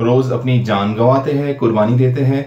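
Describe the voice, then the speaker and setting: A man talks with a Bengali accent. His pitch is medium. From West Bengal, India. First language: Bengali (speaking Hindi). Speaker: YouTuber. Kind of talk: personal vlog commentary. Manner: halting, frequent fillers.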